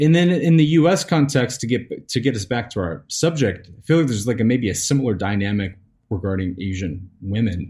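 A man's dark, mellow, somewhat breathy voice with an American accent, medium pitch and very wide pitch swings, at a fairly quick pace with hardly any pauses. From US South. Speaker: podcast host. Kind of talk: live stream discussion. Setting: live stream.

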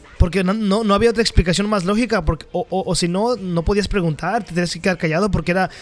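Through noticeable background noise, a man talks at a very fast pace with a high pitch. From Mexico. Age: 20s. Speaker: podcast co-host. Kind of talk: casual chat. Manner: halting, repeats words.

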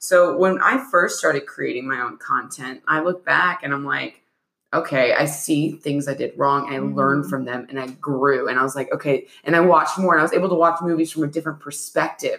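Very deep and low in pitch, a woman's voice shows ordinary variation. She talks at a fairly quick pace with hardly any pauses. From US, moved around (San Diego, New York). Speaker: actor and filmmaker. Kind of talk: casual interview chat.

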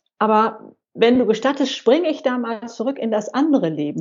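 A woman talks at a fairly quick pace in an ordinary speaking voice. Her pitch sits fairly high, and her intonation is lively. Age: 60s. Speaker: senior blogger and YouTuber. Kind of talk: interview.

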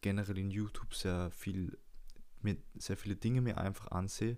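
Flat and monotone, a man's fairly low voice comes through with a dark, mellow tone. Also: very clean recording, silent background. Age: 20s. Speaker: podcast host. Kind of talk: casual monologue. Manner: casual and loose.

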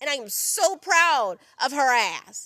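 A woman projects her raised voice at a high pitch with a bright, sharp tone. The sound is dry and close, with no echo. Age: 20s. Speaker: podcast host. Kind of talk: solo monologue. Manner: animated.

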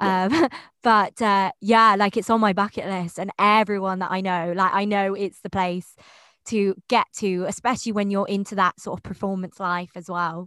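With a British accent, a woman speaks at a moderate pace in a bright, sharp tone at medium pitch. The sound is dry and close with no echo, and the background is quiet. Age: 20s. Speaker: podcast host, yoga teacher. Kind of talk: casual interview. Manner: animated, warm.

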